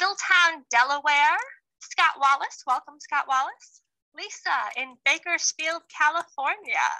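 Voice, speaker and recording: Projecting loudly, a woman with an American accent speaks at a fairly slow pace. Her voice is extremely high, with lively intonation and a bright, sharp tone. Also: dry, close sound with no echo. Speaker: virtual tour guide. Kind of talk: live virtual tour presentation. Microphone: voice muffled by face mask.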